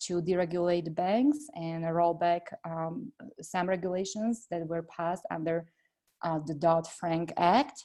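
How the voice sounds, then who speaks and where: A woman's fairly low voice with a Slovak accent and ordinary pitch variation, in a quiet background. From Slovakia. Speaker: congressional candidate. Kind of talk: interview. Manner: hesitant with many fillers.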